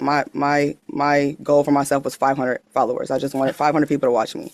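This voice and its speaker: Talking very fast, a woman uses a very deep, low pitch. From Wisconsin. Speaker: farmer and social media creator. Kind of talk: interview. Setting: studio.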